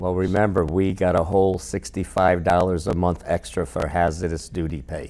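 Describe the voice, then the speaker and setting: A man with an American accent speaks in a very deep, low voice with vocal fry. He moves at a moderate pace with hardly any pauses and ordinary pitch variation. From Rhode Island, US. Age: 70s. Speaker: Vietnam war veteran. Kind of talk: interview conversation.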